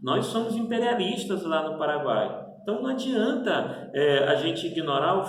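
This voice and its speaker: A man talks at a fairly slow pace with lively intonation. The room echo is audible and there is noticeable background noise. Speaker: professor. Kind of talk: lecture.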